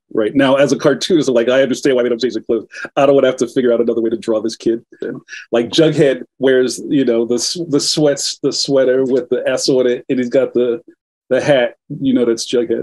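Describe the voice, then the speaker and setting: Against a quiet background, a man with a Philadelphia accent talks at a fairly quick pace with fairly even intonation. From West Philadelphia. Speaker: cartoonist; guest. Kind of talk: interview. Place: home room. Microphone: video call.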